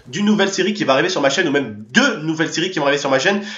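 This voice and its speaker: A man speaks in a high-pitched, animated tone with lively intonation. Audible room echo surrounds his voice. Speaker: YouTuber; gaming youtuber. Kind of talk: casual vlog to subscribers. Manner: fast. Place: home room.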